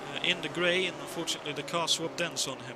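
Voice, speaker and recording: Noticeable background noise sits behind a man with a Swedish accent. He talks fairly quickly at a high pitch. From Sweden. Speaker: play-by-play commentator. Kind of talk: live commentary. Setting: commentary booth.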